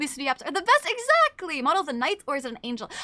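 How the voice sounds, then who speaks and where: A woman's raised, projected voice with very wide pitch swings, over noticeable background noise. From Canada. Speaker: VTuber streamer. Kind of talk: casual livestream chat. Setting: livestream. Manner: fast.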